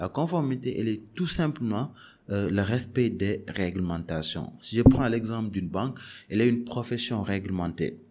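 Moderate pace, lively intonation and a dark, mellow tone. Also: man, medium pitch for a man. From Senegal, Dakar. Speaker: bank compliance director. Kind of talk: interview. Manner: hesitant, many fillers.

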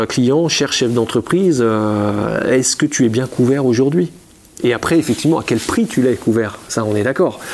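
A man talks with ordinary pitch variation, and noticeable background noise can be heard behind him. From Champagne, France. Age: 40s. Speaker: insurance agent. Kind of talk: interview. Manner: halting, many repetitions.

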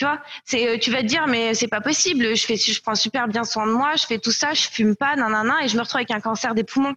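A woman with an ordinary speaking voice, fairly high in pitch, at a fairly quick pace with ordinary pitch variation and very even loudness. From France. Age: 20s. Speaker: company co-founder. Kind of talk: casual interview.

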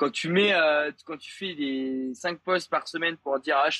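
A bright, sharp tone with ordinary pitch variation comes through in a dry, close sound with no echo. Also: man. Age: 20s. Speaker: 3D animator and content creator. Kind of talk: casual interview chat. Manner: hesitant, many fillers.

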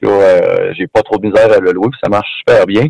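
Heard dry and close with no echo, a man talks at a moderate pace in a Quebec accent. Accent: Québécois French. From Quebec, Rimouski. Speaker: former pro hockey player. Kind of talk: interview. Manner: halting, repeats words.

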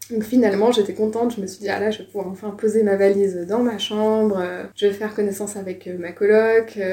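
Over noticeable background noise, a woman with a medium pitch talks fairly quickly with hardly any pauses, her intonation monotone and flat while her loudness swings widely. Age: 20s. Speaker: former exchange student. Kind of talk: casual interview testimony.

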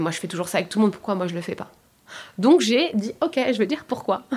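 A woman's lively intonation at a very fast pace. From France, Paris suburbs (Seine-Saint-Denis). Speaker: coach and work psychologist. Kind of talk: casual interview.

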